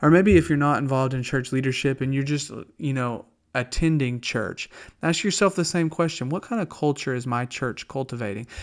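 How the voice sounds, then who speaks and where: A man's fairly high voice in a strong Southern US accent, with ordinary pitch variation, on a very clean recording with a silent background. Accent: strong Southern US drawl. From US South. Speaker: pastor. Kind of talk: radio devotional talk. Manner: conversational, with fillers and false starts.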